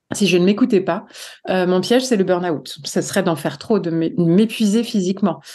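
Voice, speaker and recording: A woman speaks at a moderate pace and medium pitch. The background is quiet. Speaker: psychologist and author. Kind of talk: podcast interview. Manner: animated.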